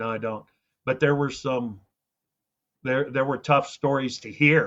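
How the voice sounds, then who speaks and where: A man with a Midwestern American accent, fairly slow in pace, fairly even in intonation, with big swings in loudness. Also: medium pitch for a man. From rural Iowa. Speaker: agricultural radio host. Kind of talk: interview answer.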